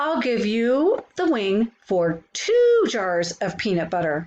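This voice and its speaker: A woman does a put-on character voice pitched fairly high. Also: fairly slow pace. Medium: read story.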